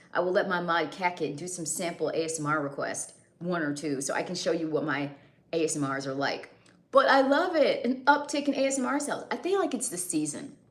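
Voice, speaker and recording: A woman talks fairly quickly at a fairly low pitch, with very wide pitch swings. Audible room echo surrounds her voice. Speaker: livestreamer and custom audio creator. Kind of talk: casual livestream chat. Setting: live stream.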